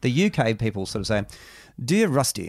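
A man speaks in an Australian accent at a fairly quick pace and medium pitch. His pitch swings very widely, and the recording is very clean with a silent background. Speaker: author. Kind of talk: interview. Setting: studio.

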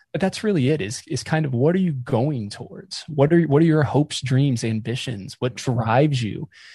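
The voice has a dark, mellow tone, somewhat breathy, with lively intonation. It moves at a moderate pace with hardly any pauses. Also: man, fairly high pitch for a man. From North Carolina (near Raleigh). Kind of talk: interview.

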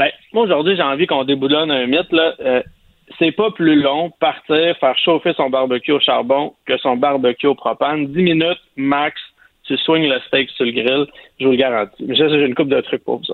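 A man speaks in a normal speaking voice at a moderate pace, fairly high in pitch with ordinary pitch variation. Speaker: barbecue chef. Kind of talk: casual chat.

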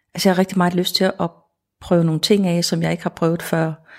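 Fairly low female voice, very clean recording, silent background. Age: 60s. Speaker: newly retired museum administrator, asparagus grower. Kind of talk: casual conversation, reportage interview. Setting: outdoors, field. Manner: halting, hesitant.

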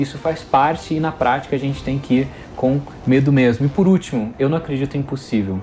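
Speech comes at a fairly quick pace with ordinary pitch variation over noticeable background noise. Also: man, fairly high pitch for a man. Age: 30s. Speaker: education entrepreneur. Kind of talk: interview. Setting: studio.

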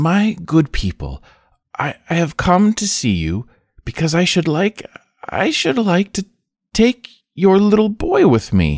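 This is a put-on character voice at a middle pitch, shaky and at a fairly slow pace. Long pauses come often.

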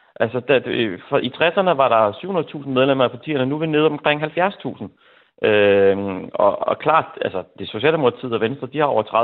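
Fairly high in pitch, a man speaks with lively intonation at a moderate pace. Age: 40s. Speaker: teacher, listener panelist. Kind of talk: radio phone-in discussion. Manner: halting.

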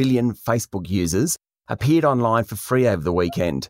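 Speaking with an Australian accent, a man talks at a fairly quick pace with lively intonation and a medium pitch. The recording is very clean with a silent background, and the sound is dry and close with no echo. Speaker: news presenter. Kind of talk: news reading, scripted business headlines briefing. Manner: brisk, crisp and authoritative; formal, even-paced.

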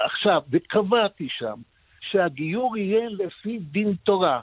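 A man speaks very slowly in a high voice with lively intonation. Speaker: former government minister. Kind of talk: radio interview. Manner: formal.

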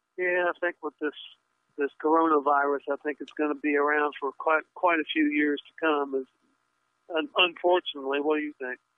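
This man speaks at a fairly high pitch and a moderate pace. His intonation is monotone and flat. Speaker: radio caller. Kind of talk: call-in question. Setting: phone call.

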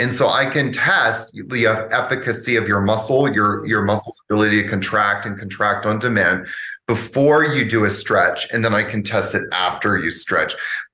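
With a Canadian accent, a man speaks at medium pitch and a moderate pace in a bright, sharp tone with ordinary pitch variation, and the room echo is audible. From Canada. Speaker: yoga teacher. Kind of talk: casual interview.

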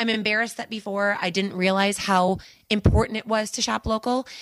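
In an American accent, a woman speaks at a medium pitch with fairly even intonation and an unremarkable speaking voice. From US Midwest. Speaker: bar and grill owner.

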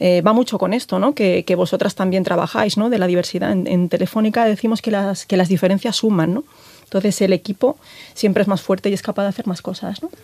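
With a dark, mellow tone, a woman speaks very fast at a medium pitch with ordinary pitch variation. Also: dry, close sound with no echo. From Galicia, Spain. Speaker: telecom engineer and tech executive. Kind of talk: interview. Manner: hesitant, many fillers.

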